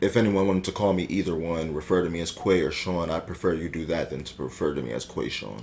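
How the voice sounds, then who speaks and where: A man's very deep, low voice with vocal fry, a very fast pace, hardly any pauses and ordinary pitch variation. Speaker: podcast co-host. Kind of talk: casual chat. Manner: halting, many fillers.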